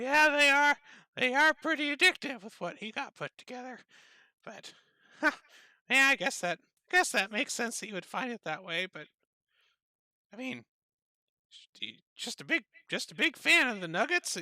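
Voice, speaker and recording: A put-on character voice with a fairly high pitch comes through with long, frequent pauses. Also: moderate pace, very clean recording, silent background. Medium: actual play. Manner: rambling, hesitant, folksy.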